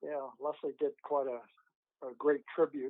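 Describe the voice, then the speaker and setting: Talking at a fairly slow pace, this man has a fairly high pitch. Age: 90s. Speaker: author and film technician. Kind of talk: interview. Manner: halting.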